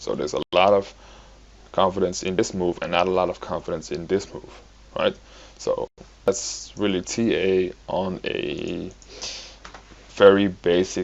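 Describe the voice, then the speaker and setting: A man with a non-native accent. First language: not English. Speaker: crypto trading analyst. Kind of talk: tutorial. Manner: halting, many fillers.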